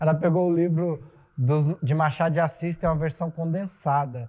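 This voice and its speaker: A man speaks at a moderate pace with a high pitch and ordinary pitch variation against a quiet background. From Mato Grosso, Brazil. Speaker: theatre director and playwright. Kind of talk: casual chat.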